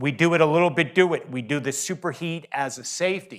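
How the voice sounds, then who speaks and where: A man with an American accent and an ordinary speaking voice, fairly high in pitch with ordinary pitch variation, at a moderate pace on a very clean recording with a silent background. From northeastern US. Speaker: industry trainer. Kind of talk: technical training presentation.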